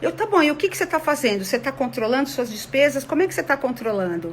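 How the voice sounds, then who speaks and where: This woman speaks at a high pitch. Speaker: conflict mediation consultant. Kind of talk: online talk to an audience. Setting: online video session. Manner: animated.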